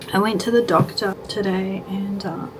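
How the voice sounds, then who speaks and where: Noticeable background noise accompanies a woman speaking with an Australian accent. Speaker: lifestyle vlogger. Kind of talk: casual vlog chat.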